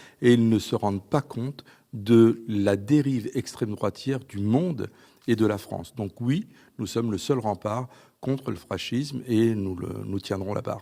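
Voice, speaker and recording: A man's medium-pitched, dark and mellow voice at a fairly slow pace, on a very clean recording with a silent background. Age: 60s. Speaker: politician. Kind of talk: TV interview.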